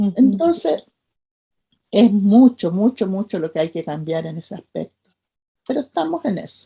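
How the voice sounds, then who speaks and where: With long, frequent pauses, a woman speaks at a fairly slow pace in a dark, mellow, somewhat breathy tone with very wide pitch swings. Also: medium pitch for a woman. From Chile. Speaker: midwife and leader of respected childbirth advocacy. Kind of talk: interview answer.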